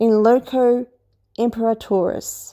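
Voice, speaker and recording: This woman speaks with an Australian accent in a fairly high pitch and a dark, mellow tone, on a very clean recording with a silent background. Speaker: history commentator. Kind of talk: casual lecture. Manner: hesitant, with fillers.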